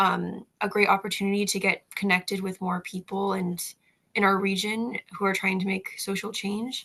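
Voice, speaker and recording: A woman's medium-pitched voice, bright and sharp in tone, at a moderate pace with monotone, flat intonation. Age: 20s. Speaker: college student activist. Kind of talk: interview.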